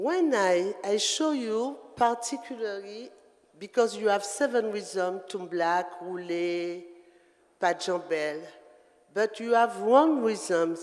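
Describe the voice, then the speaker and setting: Speaking at a very slow pace with a French Caribbean accent, the voice comes through over noticeable background noise. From Guadeloupe. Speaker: dancer. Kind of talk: talk at performance event. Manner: halting.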